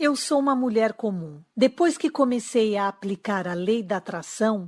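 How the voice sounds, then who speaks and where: A woman with a Brazilian accent speaks at a fairly slow pace, her fairly high pitch carried by lively intonation. The sound is dry and close with no echo, on a very clean recording with a silent background. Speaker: relationship coach. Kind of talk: sales pitch.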